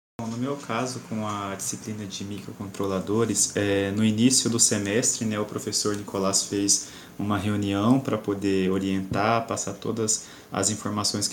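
Audible room echo follows a man's voice. He talks at a moderate pace with a fairly low pitch. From Cuiabá, Brazil. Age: 20s. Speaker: engineering student and tutor. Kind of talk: casual panel discussion.

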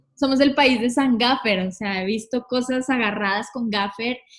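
A woman speaks at a fairly slow pace with a fairly high pitch. She has a plain, everyday voice and ordinary pitch variation. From Colombia, Villavicencio. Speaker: tour manager. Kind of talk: casual interview chat.

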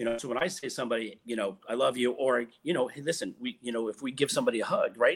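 This man talks at a very fast pace, with hardly any pauses. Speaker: podcast host. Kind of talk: casual conversation podcast. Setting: live stream. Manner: hyped, energetic.

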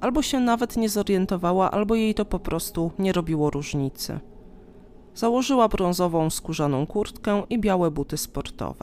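A woman in an ordinary speaking voice talks at medium pitch and a moderate pace with lively intonation, recorded very cleanly over a silent background. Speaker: true-crime podcaster. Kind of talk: true-crime narration, measured storytelling of a victim's last morning. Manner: calm, even, solemn; detailed, matter-of-fact, steady pace.

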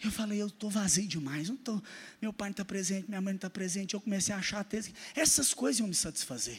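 This man's voice has a high pitch. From Minas Gerais, Brazil (Araxá). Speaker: pastor. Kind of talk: sermon with personal testimony. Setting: church service with congregation. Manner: animated.

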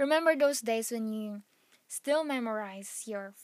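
A woman with a Filipino accent, fairly high-pitched, with ordinary pitch variation and a fairly slow pace. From Philippines. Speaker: podcast host. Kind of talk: casual solo podcast monologue.

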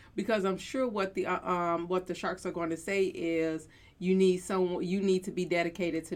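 An ordinary speaking voice comes through at a moderate pace. The intonation stays fairly even. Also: woman. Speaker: reaction channel host. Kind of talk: casual reaction commentary.

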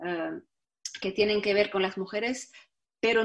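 This woman's voice sits at a fairly high pitch. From Morocco, Tangier. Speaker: film director and actress. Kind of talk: interview. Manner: halting, many repetitions.

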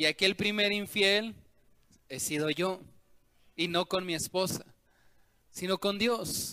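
In a dry, close recording with no echo, a man with a high, bright and sharp voice projects loudly, speaking very slowly with fairly even intonation and long, frequent pauses. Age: 30s. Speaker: pastor. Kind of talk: sermon.

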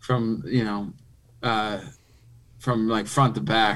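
A man with an American accent has an unremarkable speaking voice. He speaks at a medium pitch and a fairly slow pace. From Philadelphia, US. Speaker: retired football player. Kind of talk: casual chat.

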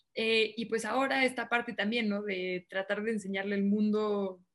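At a fairly quick pace, a woman with an unremarkable speaking voice talks at medium pitch, her intonation fairly even. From northern Mexico, Monterrey. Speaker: journalist and TV news presenter. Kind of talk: casual interview.

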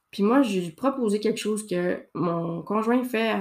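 On a very clean recording with a silent background, a woman's medium pitch shows ordinary variation. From Quebec, Saguenay. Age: 30s. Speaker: podcast host. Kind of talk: casual monologue. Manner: hesitant, many fillers. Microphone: new microphone, good sound.

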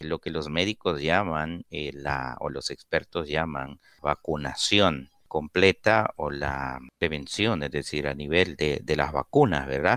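A man speaks at a very slow pace with vocal fry in his voice. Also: dry, close sound with no echo. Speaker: radio host. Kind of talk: call-in radio show.

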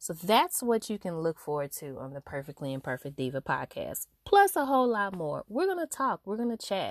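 A woman with a medium pitch speaks at a moderate pace in an animated tone, with big swings in loudness and hardly any pauses. The sound is dry and close with no echo, over a quiet background. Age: 30s. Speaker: podcast host. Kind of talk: solo monologue. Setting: recording in a closet.

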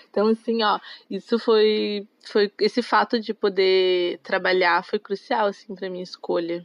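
A woman talks at a medium pitch and a fairly slow pace, with fairly even intonation. It is an unremarkable speaking voice. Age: 20s. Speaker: tourism student, former exchange worker. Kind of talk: casual interview chat.

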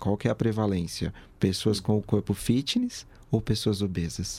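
At a fairly slow pace, a dark, mellow voice comes through a very clean recording with a silent background. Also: man. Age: 20s. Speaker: psychology student. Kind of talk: casual chat.

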